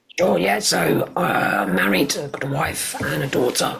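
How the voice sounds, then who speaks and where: A man whispers. He has a southern English accent. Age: 40s. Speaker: cancer survivor. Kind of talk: interview.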